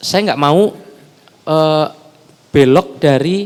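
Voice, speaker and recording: This man's pitch is fairly high, with ordinary pitch variation. He talks at a very slow pace. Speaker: multimedia content creator. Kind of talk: casual chat.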